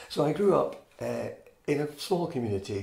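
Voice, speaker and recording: A man speaks at a moderate pace with a Scottish accent and vocal fry. Audible room echo surrounds his voice. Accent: Scottish (Fife). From Scotland, Fife (Inverkeithing). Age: 70s. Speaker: oral history interviewee. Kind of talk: oral history interview. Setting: interviewee's home.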